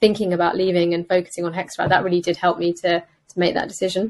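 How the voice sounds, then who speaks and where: Fairly low in pitch, a woman speaks with a British accent. Her pace is very fast. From England, UK. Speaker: consultant radiologist and startup founder. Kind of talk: interview conversation.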